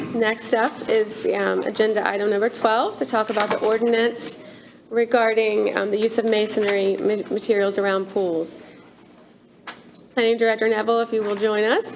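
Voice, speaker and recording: Against noticeable background noise, a woman with a fairly high pitch keeps a moderate pace, fairly even intonation and very even loudness. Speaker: meeting chair. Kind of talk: chairing a council meeting. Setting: town board meeting. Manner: halting.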